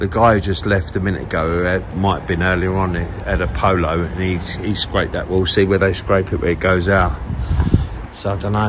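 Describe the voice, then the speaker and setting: A man with a very deep, low pitch speaks at a fairly quick pace. His intonation is fairly even, and there is noticeable background noise. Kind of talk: casual vlog chat. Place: street. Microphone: phone near.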